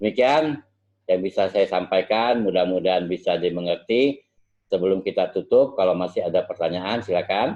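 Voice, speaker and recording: Keeping his loudness very even, a man talks at a moderate pace. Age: 60s. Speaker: medical lecturer. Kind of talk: lecture.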